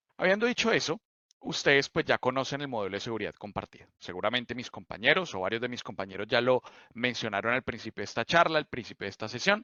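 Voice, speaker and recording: Speaking with a Bogotá accent, a man talks at a very fast pace. His intonation is lively. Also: medium pitch for a man. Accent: Colombian, Bogotá. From Colombia, Bogotá. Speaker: cloud solutions architect. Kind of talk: technical presentation.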